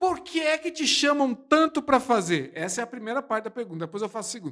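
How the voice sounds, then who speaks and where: Speaking at a very fast pace with a São Paulo accent, a man uses an extremely high pitch, very wide pitch swings and an animated, bright, sharp tone. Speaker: podcast host. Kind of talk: casual chat. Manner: animated, exaggerated delivery.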